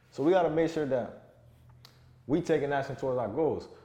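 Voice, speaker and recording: A man with a South Florida accent, fairly high-pitched with ordinary pitch variation, at a fairly quick pace, with audible room echo. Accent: South Florida urban American English. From South Florida, Broward County. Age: 20s. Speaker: online fitness coach. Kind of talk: motivational monologue. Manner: casual, repetitive with self-corrections.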